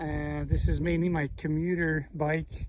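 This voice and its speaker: A man speaks with a French Canadian accent. Noticeable background noise runs behind him. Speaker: mountain biking vlogger. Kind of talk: casual vlog narration while riding. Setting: outdoors on mountain trail. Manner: halting, many fillers.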